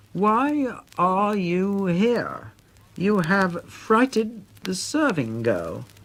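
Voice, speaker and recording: Using a put-on character voice, a female-sounding speaker talks at a very slow pace in a middle pitch. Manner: very slow and distinct.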